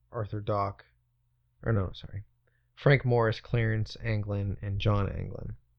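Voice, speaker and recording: A man with a plain, everyday voice speaks at a moderate pace. His pitch is fairly low and his intonation fairly even. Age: 20s. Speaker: podcast co-host. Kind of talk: casual chat.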